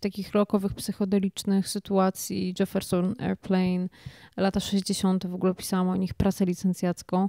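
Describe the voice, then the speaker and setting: This woman's voice has a dark, mellow tone. She speaks at a moderate pace against a quiet background. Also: dry sound with no echo. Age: 30s. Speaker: singer-songwriter; guest. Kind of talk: interview. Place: studio. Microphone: handheld.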